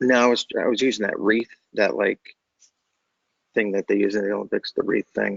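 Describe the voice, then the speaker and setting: The voice is quiet and goes at a fairly quick pace, broken by long, frequent pauses. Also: man. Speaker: design student. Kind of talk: question in online class. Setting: in a library. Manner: quiet, subdued; halting.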